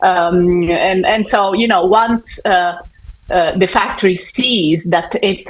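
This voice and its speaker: A woman's medium-pitched voice in an Italian accent, fairly slow and fairly even in intonation, with noticeable background noise. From Italy. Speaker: fashion sustainability consultant. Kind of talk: panel discussion. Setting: conference stage with audience. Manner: halting.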